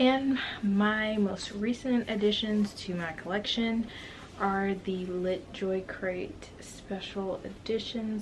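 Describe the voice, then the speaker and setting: A woman speaks at a very slow pace. There is noticeable background noise. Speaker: book vlogger. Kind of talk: casual vlog talk to camera.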